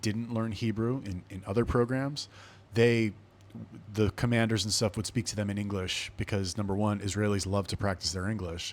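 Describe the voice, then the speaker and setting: On a very clean recording with a silent background, a man with a West Coast US accent speaks at a moderate pace in a fairly low voice. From Los Angeles, California. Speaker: podcast host, army veteran. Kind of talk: casual solo storytelling. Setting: indoor room with air conditioning. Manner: animated, conversational.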